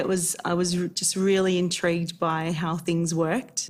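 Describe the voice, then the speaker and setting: A woman with an Australian accent talks at a moderate pace in a fairly low pitch. Her intonation stays fairly even over noticeable background noise. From Geelong area, Victoria, Australia. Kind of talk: interview testimony.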